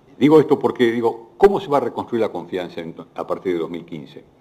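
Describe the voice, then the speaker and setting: A man at a medium pitch talks at a very fast clip, his voice swinging very widely up and down. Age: 60s. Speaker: economist. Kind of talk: panel Q&A. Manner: halting.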